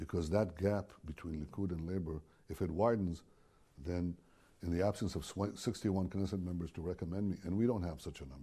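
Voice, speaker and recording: The tone is dark, mellow and somewhat breathy. Delivery is at a moderate pace. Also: man. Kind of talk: interview answer. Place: office. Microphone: lapel.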